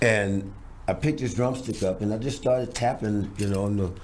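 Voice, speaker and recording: Somewhat breathy, a man with an American accent and a fairly low pitch speaks at a moderate pace with audible room echo. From Los Angeles (South Central), US. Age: 70s. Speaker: drummer. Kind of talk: interview storytelling. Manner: animated, repetitive fillers.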